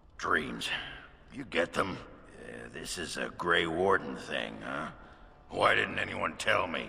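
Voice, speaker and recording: A man puts on a raspy character voice with a very deep, low pitch, going at a fairly slow pace with long, frequent pauses. Light background noise is audible. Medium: video game. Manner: blunt, rambling.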